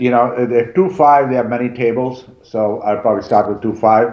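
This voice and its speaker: With audible room echo, a man speaks at a moderate pace and medium pitch, using ordinary pitch variation. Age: middle-aged. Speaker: poker student; poker streamer. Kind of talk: casual chat. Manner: halting. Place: home room.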